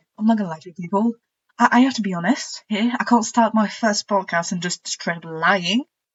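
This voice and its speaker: A woman speaks with a non-native accent at a medium pitch and a fairly quick pace. Her voice is somewhat breathy, with ordinary pitch variation. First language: not English. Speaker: podcast co-host. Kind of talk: casual chat.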